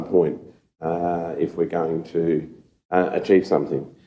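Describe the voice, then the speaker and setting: A man in an Australian accent speaks at a fairly slow pace. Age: 60s. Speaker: city councillor. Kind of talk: council meeting debate. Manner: halting, many fillers.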